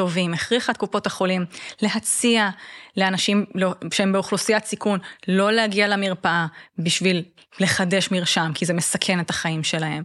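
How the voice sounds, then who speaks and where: A woman speaks in an ordinary speaking voice at a medium pitch. Her pace is moderate and her intonation fairly even, over a quiet background. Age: 30s. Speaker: gerontologist and age-tech lab director. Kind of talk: interview.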